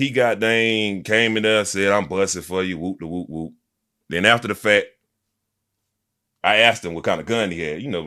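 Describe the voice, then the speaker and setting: A man speaks loudly in a bright, sharp, fairly low voice at a moderate pace, with ordinary pitch variation and long, frequent pauses, on a very clean recording with a silent background. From Montgomery, Alabama (US South). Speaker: rapper. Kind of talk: casual interview. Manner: energetic.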